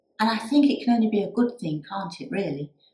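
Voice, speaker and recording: Somewhat breathy delivery with a dark, mellow tone and lively intonation. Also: woman. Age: 60s. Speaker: YouTuber and crafter. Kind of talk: casual vlog talk. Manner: hesitant, with many fillers.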